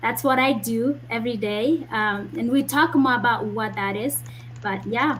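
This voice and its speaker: Speaking at a fairly slow pace, a woman uses lively intonation and a fairly high pitch. Her voice has vocal fry. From Kenya (Kisii, Nyamira). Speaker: medical doctor. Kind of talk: interview.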